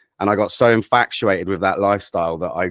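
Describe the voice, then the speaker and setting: A man with a southern English accent talks at a very fast pace, with a very deep, low pitch and fairly even intonation. The recording is very clean and dry, close with no echo, and the background is silent. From England, Cambridgeshire. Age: 30s. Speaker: drum and bass producer. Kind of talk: interview.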